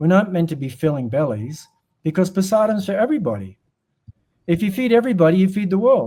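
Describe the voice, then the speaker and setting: This man, with an Australian accent, a high pitch and a dark, mellow tone, talks at a very fast pace with lively intonation. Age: 60s. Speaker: humanitarian charity director and former monk. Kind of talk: podcast interview.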